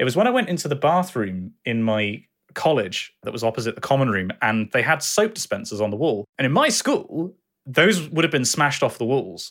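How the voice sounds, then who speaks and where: With a southern English accent, a man speaks at a moderate pace in a fairly high pitch, making very wide pitch swings in a very clean recording with a silent background. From southwest England. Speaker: educational YouTuber and streamer. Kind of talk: interview.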